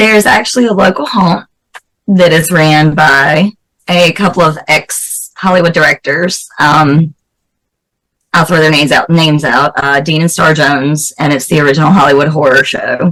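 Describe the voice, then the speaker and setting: At a moderate pace, a woman talks with a very deep, low pitch, ordinary pitch variation and very even loudness. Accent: Southern US. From US South, North Carolina. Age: 40s. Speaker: special effects makeup artist and actress. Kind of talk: interview.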